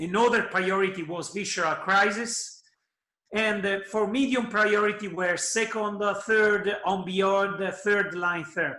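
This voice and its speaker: In a raised, projected voice, a man with a high pitch talks at a fairly slow pace with fairly even intonation. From Italy. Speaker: oncologist. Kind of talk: conference presentation.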